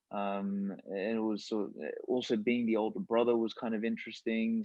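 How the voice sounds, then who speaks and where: In an Australian accent, a man speaks at a moderate pace and medium pitch with fairly even intonation. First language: Macedonian. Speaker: podcast host. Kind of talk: casual chat.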